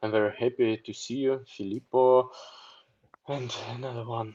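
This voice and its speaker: A man talks in a monotone with flat intonation. The background is quiet. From Russia. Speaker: war reporter. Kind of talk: interview. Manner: halting.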